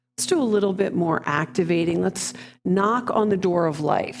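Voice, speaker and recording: Calm in tone, a woman talks with vocal fry. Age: 60s. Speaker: qigong and yoga instructor. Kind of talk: guided fitness class instruction. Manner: slow, calm.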